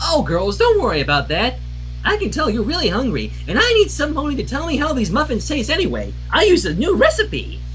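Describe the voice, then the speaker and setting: Over clear background noise, a put-on character voice with a bubbly tone moves at a fairly quick pace. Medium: read story. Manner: bubbly, fast, excitable.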